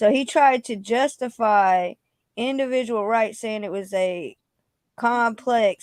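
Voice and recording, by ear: Natural read-aloud voice over a quiet background, pitch moving in an ordinary way.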